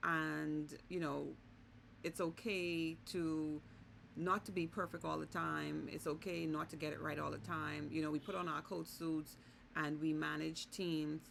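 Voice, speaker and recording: A woman talks with a Bahamian accent. Her pace is fairly slow. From Bahamas. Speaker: vlogger and business consultant. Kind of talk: casual vlog monologue.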